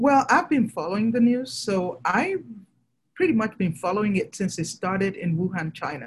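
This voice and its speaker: A woman with a fairly high, somewhat breathy voice speaks at a moderate pace, her pitch swinging very widely. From Nigeria. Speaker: fertility doctor. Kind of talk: interview.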